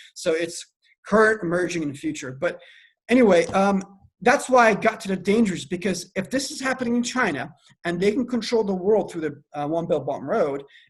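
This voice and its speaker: A man's high-pitched voice with an American accent, lively intonation and a fairly quick pace. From Iran, then US. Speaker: AI researcher and security analyst. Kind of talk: podcast interview. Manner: halting, many repetitions.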